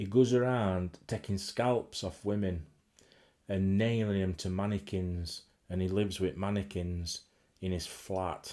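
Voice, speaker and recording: A man speaks with a Yorkshire accent at a very deep, low pitch. He goes fairly slowly in a very clean recording with a silent background. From Yorkshire, England. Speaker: horror film collector and vlogger. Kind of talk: casual talk to camera. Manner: enthusiastic, rambling.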